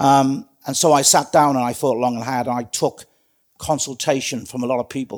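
With a British accent, a man talks at a moderate pace and medium pitch, his intonation fairly even. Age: 60s. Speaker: retired police trainer and community safety advisor. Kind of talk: casual interview.

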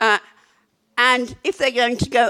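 A woman speaks at a moderate pace. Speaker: author and academic on panel. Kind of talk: panel talk. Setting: live event with audience.

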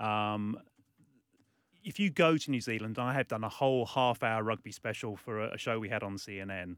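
The speaker has a British accent. Delivery comes at a moderate pace with ordinary pitch variation. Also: man, medium pitch for a man. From UK. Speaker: sports journalist. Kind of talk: radio interview. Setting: studio.

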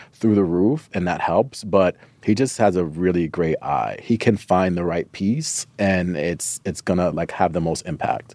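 A man speaks with a very deep, low pitch and a dark, mellow tone. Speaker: stylist. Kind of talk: casual interview chat.

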